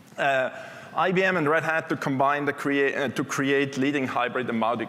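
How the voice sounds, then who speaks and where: Noticeable background noise accompanies this recording. A man talks fairly quickly at a fairly high pitch. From Switzerland. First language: not English (English is third language). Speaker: technology executive. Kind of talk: conference keynote. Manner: conversational, with fillers.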